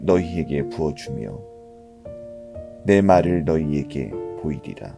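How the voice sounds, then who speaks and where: A man with a very deep, low voice speaks at a very slow pace over music in the background. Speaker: pastor reading scripture. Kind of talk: scripture reading for sleep, calming. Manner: soothing, calm.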